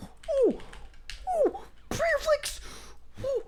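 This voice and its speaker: In a put-on character voice, the speaker sounds squeaky at an extremely high pitch. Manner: excited.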